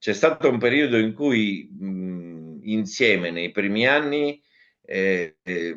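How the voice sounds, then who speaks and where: A man's fairly low voice at a very slow pace, with lively intonation. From Ragusa, Sicily, Italy. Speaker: actor and cabaret comedian. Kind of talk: interview answer.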